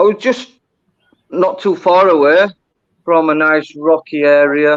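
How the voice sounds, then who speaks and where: Delivered in a Yorkshire accent, the speech has a fairly slow pace. Loudness stays very even, and pitch varies in an ordinary way. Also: man, fairly high pitch for a man. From Yorkshire, northern England. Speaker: diver. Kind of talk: casual chat.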